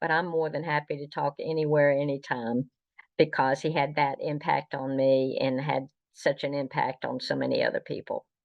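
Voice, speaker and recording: A woman at a moderate pace with a Southern US accent. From US South, North Carolina. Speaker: Star Trek historian. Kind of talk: interview. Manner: halting.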